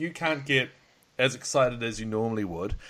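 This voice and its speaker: A man's bright, sharp voice in an Australian accent at a moderate pace. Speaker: podcast host. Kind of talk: casual chat. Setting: Skype call.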